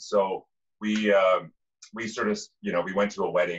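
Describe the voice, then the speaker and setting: The background is quiet. Speech moves at a moderate pace. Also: man. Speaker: podcast guest. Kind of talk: interview answer. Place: kitchen. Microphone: video call.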